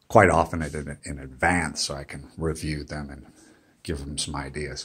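This man has a very deep, low voice and an American accent. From United States. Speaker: vlogger, digital nomad; travel vlogger. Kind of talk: casual vlog monologue; casual vlog chat. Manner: halting, many fillers. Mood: weary, mildly complaining.

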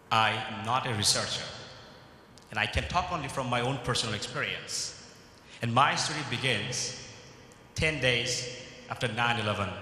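A man speaks at a moderate pace with ordinary pitch variation. Long, frequent pauses break up his speech, and audible room echo surrounds it. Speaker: keynote speaker. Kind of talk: keynote speech. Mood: earnest, measured. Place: hall. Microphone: podium.

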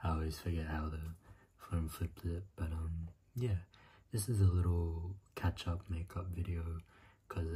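Over light background noise, a man with a very deep, low pitch and a somewhat breathy voice talks at a moderate pace. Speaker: ASMR creator. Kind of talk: soft-spoken ASMR chat. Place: home room. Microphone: phone near.

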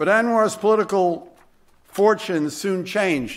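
With a quiet background, a man talks fairly slowly, showing ordinary pitch variation. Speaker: nonprofit president. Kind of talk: formal introduction speech. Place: hall. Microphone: podium.

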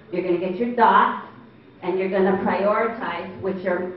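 A woman talks at a moderate pace with fairly even intonation. Light background noise and audible room echo are present. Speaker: meeting facilitator. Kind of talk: instructions to an audience. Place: hall. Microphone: handheld.

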